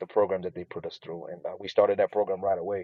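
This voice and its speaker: The speaker is a man with a fairly low pitch. His intonation stays fairly even. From Burundi, East Africa; raised in North Carolina from childhood. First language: Swahili. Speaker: immigrant guest. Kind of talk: interview. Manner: hesitant, filler-heavy (you know, um).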